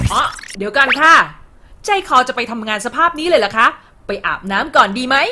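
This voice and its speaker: In a raised, projected voice, a woman talks with a playful tone, lively intonation and a high pitch. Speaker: voice-over artist. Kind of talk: corporate infographic narration. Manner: playful, chatty.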